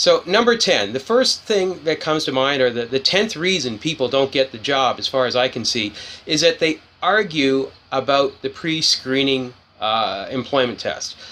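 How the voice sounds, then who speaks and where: The voice has a bright, sharp tone and lively intonation. It moves at a moderate pace. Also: man, fairly high pitch for a man. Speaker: career advice speaker. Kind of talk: impromptu talk to camera. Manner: unscripted, hesitant with fillers; blunt.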